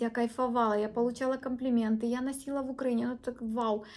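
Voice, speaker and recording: A woman's high-pitched voice at a fairly quick pace, with monotone, flat intonation. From Ukraine. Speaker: beauty blogger. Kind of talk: product review. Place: home room. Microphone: phone near.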